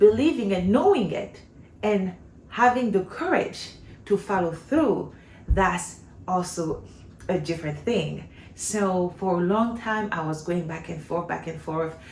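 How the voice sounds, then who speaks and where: Noticeable background noise and audible room echo surround a woman speaking at a fairly slow pace in a French accent. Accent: non-native English accent, French-speaking. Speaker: homeschooling mom, vlogger. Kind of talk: casual vlog talk. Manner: conversational, with fillers and false starts.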